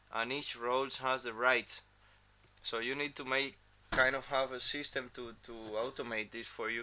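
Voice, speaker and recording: A man with a non-native accent and a medium pitch speaks at a moderate pace in a bright, sharp tone, his intonation monotone and flat, with long, frequent pauses. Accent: non-native English pronunciation. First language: not English. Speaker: software developer. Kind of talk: tutorial. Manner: halting, many fillers and repeats.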